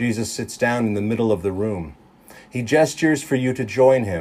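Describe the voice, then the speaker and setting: Using a normal speaking voice, a man talks with a medium pitch and lively intonation. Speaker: preacher giving a sermon. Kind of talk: guided meditation sermon. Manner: calm, slow, gentle.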